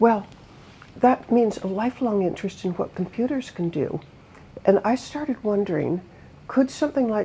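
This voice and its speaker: With an American accent, a woman speaks in a dark, mellow, somewhat breathy voice at a fairly high pitch, with lively intonation. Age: 80s+. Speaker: author and humanitarian advocate. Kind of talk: interview conversation.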